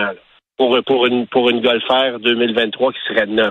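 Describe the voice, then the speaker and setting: At a fairly slow pace, a man talks in a medium pitch with monotone, flat intonation. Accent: Quebec. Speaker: car columnist. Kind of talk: radio column interview. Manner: hesitant, many fillers.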